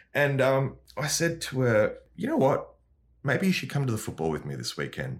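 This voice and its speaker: Vocal fry runs through a voice with very wide pitch swings at a moderate pace. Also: man. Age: 40s. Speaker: comedian. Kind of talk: casual chat.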